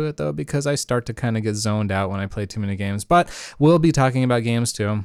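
Very fast speech comes from a man with lively intonation. The background is silent and the recording very clean. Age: 30s. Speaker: solo podcast host. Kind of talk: casual monologue. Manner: laughs often.

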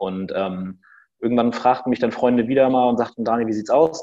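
Talking at a very fast pace, a man with a dark, mellow tone shows ordinary pitch variation. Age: 30s. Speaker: startup founder. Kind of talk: interview.

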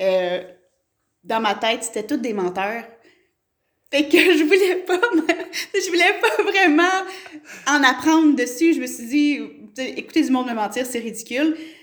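A woman speaks at a high pitch, with very wide swings in pitch. Her speech has long, frequent pauses. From Quebec, Gatineau. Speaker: mayor. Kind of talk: interview. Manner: hesitant, many fillers.

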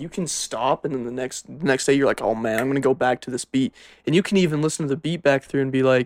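Recorded very clean with a silent background and a dry, close sound with no echo, a man with an American accent speaks at a very fast pace in a fairly high pitch. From Utah. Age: 20s. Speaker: music producer. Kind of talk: casual chat.

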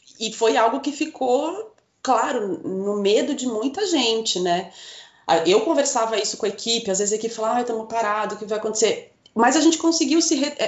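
A woman speaks at a fairly quick pace with a fairly high pitch and lively intonation, in an ordinary speaking voice. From northern Paraná, Brazil (Rolândia). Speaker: visual merchandising coordinator. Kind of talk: casual interview.

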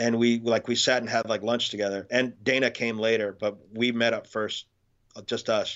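A man's medium-pitched voice at a moderate pace, flat and monotone in intonation. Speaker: film crew member. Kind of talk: casual chat.

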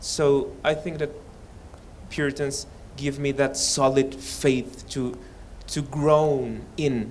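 Speaking very slowly with long, frequent pauses, a man uses a flat, monotone delivery at a fairly high pitch in a Spanish accent. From Mexico. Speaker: seminary student. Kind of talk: testimony. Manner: halting.

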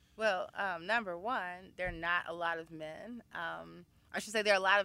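This woman has an American accent and a bright, sharp tone at medium pitch. The recording is very clean, with a silent background. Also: hardly any pauses, big swings in loudness. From Chicago, Illinois. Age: 30s. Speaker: writer and feminist activist. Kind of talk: casual chat.

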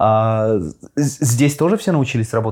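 An unremarkable speaking voice from a man, medium in pitch, fairly even in intonation and fairly slow, on a very clean recording with a silent background. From Russia. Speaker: podcast host. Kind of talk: casual interview. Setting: studio.

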